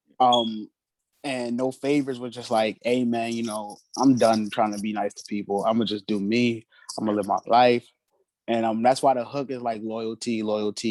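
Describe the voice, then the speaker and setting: With an American accent, a man of medium pitch talks at a moderate pace and fairly even intonation, in a dry, close sound with no echo. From New Jersey, Trenton. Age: 20s. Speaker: independent musician. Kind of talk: casual interview.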